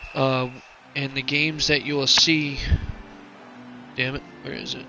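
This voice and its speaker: A man talks at a fairly high pitch and a fairly slow pace. His intonation is monotone and flat, with noticeable background noise. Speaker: video game streamer and commentator. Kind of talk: live commentary. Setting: live stream. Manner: loud.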